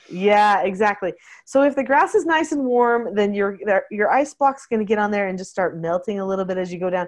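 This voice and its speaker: Against a quiet background, a woman with a plain, everyday voice speaks at a fairly quick pace with lively intonation. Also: medium pitch for a woman. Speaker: parenting podcast host. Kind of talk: casual chat.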